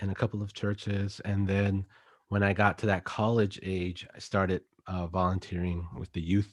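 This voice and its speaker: A man speaks at a moderate pace in a very deep, low pitch with flat, monotone intonation and an American accent, on a very clean recording with a silent background. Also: dry, close sound with no echo. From Texas. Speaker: youth minister. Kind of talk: casual chat.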